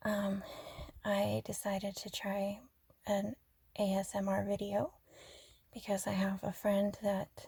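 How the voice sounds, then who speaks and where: Very slowly and with long, frequent pauses, a woman speaks in a somewhat breathy, medium-pitched voice with monotone, flat intonation. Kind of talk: relaxing ASMR-style rambling talk. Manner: soft-spoken, not whispery.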